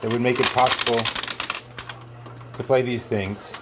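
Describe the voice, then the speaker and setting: In a New York accent, a man speaks at a moderate pace and medium pitch over noticeable background noise. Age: 60s. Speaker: coin pusher video host. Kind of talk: casual commentary while playing an arcade game. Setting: arcade at a marina. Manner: halting, many fillers.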